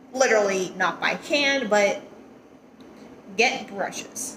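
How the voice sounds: A woman speaks with a fairly bright tone and lively intonation, with audible room echo.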